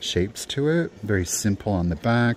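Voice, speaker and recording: Light background noise sits behind a man with an unremarkable speaking voice, talking at a moderate pace and fairly low pitch. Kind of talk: casual vlog chat. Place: shop. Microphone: phone near.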